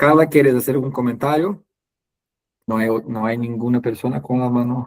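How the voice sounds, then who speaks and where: Moderate tempo and typical pitch movement in a man's mid-range voice. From Brazil. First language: Portuguese (speaking Spanish). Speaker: webinar host, catechesis trainer. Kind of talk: online webinar closing remarks. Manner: halting, many fillers.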